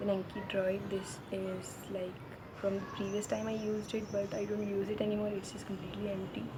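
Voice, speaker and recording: The speaker talks fairly quickly in an Indian accent with monotone, flat intonation. Noticeable background noise and audible room echo fill the recording. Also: woman, medium pitch for a woman. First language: Hindi. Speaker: medical student vlogger. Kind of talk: casual vlog walkthrough.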